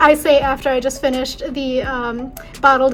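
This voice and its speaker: The voice is soft-spoken, with an American accent. Noticeable background noise sits behind it. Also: woman. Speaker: lifestyle vlogger. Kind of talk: casual vlog monologue. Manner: relaxed, filler-heavy.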